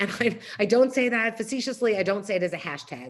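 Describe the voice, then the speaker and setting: A woman with a New York accent, at a fairly quick pace and with lively intonation. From New York City. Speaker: nonprofit CEO. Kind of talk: talk. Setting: video call. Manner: fast.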